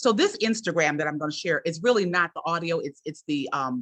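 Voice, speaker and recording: A woman with a plain, everyday voice and fairly low pitch talks at a moderate pace with lively intonation. The sound is dry and close, with no echo. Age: 60s. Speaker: journalism professor, webinar host. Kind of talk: webinar presentation. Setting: online webinar.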